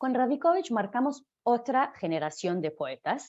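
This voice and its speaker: With a Hebrew accent, a woman speaks at a fairly high pitch with very wide pitch swings. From Israel (Jerusalem). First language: Hebrew (speaking Spanish). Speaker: literature lecturer. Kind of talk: lecture. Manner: halting, many fillers and self-corrections.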